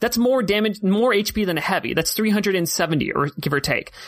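This voice has an American accent and lively intonation. The recording is very clean, with a silent background. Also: man. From United States. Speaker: tournament organizer and caster. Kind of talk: casual chat.

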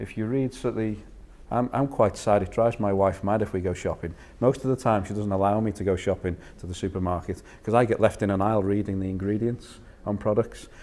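A man with a Liverpool accent talks at a very fast pace in a dark, mellow tone, his pitch fairly low and his intonation fairly even. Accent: Liverpool (Scouse). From northern England, Liverpool. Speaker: food industry innovation manager; presenter. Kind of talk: lecture. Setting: stage with audience. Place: meeting room.

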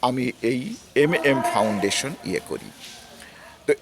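A man at medium pitch makes very wide pitch swings as he talks. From Bangladesh, Rajbari district. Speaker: retired development consultant and foundation founder. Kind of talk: personal reminiscence. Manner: halting.

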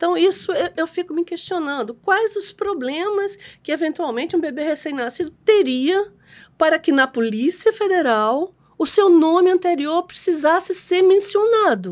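Against a quiet background, a woman speaks at a fairly slow pace. Her pitch is extremely high. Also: lively intonation. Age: 60s. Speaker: adoption lawyer; guest. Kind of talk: casual interview. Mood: warm, earnest, lightly humorous. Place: studio. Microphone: studio mic.

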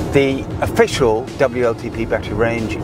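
A man at a fairly slow pace, dry sound with no echo, music in the background. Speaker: car reviewer. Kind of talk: car review commentary. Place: car. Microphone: lapel.

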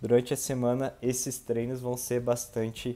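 A man's voice with a dark, mellow tone. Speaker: triathlete vlogger; amateur triathlete vlogger. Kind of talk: casual vlog narration.

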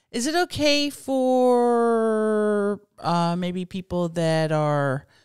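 The pitch swings very widely throughout. The sound is dry with no echo, over a quiet background. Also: woman. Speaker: podcast guest. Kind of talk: casual chat. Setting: in a car. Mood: animated, amused storytelling. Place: home room. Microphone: studio mic.

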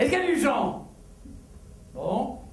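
Male speech, echoing audibly off the room, over faint background noise. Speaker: stand-up comedian. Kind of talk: comedy stage monologue. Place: stage. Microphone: headset.

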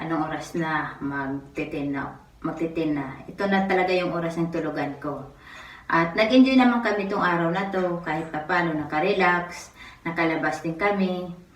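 A woman speaks at a moderate pace with a fairly low pitch and ordinary pitch variation, amid noticeable background noise and audible room echo. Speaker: vlogger. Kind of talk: casual vlog narration.

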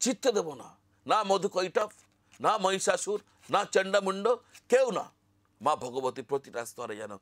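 A man's high-pitched voice swings very widely in pitch. The sound is dry and close, with no echo. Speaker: astrologer. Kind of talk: spiritual talk to camera.

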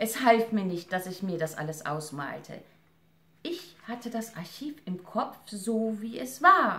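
A woman speaks at a very slow pace, her pitch swinging very widely and her loudness shifting a lot. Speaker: actress and reader. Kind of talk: literary audiobook reading, essay read aloud. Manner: measured, solemn, expressive reading with emotional weight. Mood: serious, reflective. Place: home room. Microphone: camera far.

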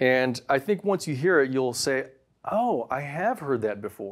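Lively intonation from a man, quiet background behind him. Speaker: presenter. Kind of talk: product review talk. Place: studio.

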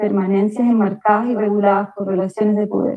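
This woman has a Chilean accent and a fairly high pitch. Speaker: panelist. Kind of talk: conference presentation. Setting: video call from US. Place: home room. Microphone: earbuds.

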